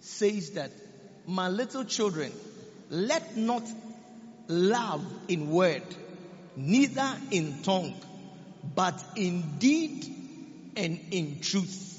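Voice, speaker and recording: A man with a high voice talks very slowly, leaving long, frequent pauses. His intonation is lively, and background noise is noticeable. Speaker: preacher. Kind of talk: sermon, preaching with prayer and declarations. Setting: church. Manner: fervent, commanding, rallying the congregation with call-and-response; declarative, prophetic, repetitive.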